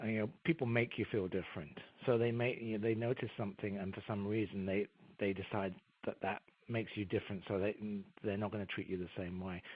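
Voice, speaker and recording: In an English accent, a man talks at a very fast pace with fairly even intonation. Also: fairly low pitch for a man. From England. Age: 50s. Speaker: career coach and author. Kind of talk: interview.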